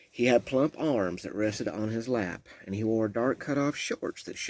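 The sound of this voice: It is an unforced reading voice. The pitch variation is ordinary.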